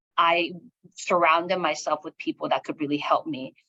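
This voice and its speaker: A woman with a Korean accent speaks at a moderate pace in a fairly low voice with a bright, sharp tone, the sound dry and close with no echo. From South Korea, moved to US at nine. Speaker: education executive and author. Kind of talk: interview, personal story.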